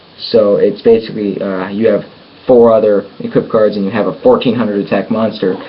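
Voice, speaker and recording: A man's medium-pitched voice comes through noticeable background noise. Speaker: card game YouTuber. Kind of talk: deck showcase tutorial. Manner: halting, many fillers.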